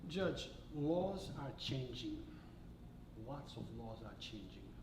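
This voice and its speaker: A man talks at a very slow pace over noticeable background noise, with audible room echo. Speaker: local news channel host. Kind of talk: interview. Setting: restaurant.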